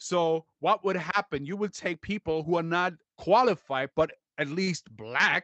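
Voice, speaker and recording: A man with a high voice speaks at a fairly slow pace, showing ordinary pitch variation. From Germany. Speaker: actor and TV presenter. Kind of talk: casual chat.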